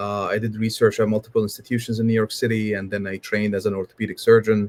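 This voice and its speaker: A man with an Arabic accent, fairly low pitch and monotone, flat intonation, talking at a very fast pace in a dry, close sound with no echo. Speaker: spine surgeon. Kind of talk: panel discussion. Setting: livestream.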